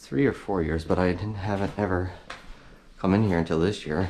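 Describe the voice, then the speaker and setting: A mumbling man with a very deep, low pitch, at a moderate pace with fairly even intonation. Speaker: urban explorer vlogger. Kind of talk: casual walkthrough narration. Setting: indoors in abandoned building.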